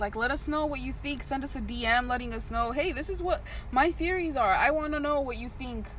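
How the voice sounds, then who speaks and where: A woman speaks fairly quickly in an American accent while noticeable background noise sounds behind her. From Southern California, Paramount/Compton area. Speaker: podcast co-host. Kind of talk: casual chat. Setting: outdoors.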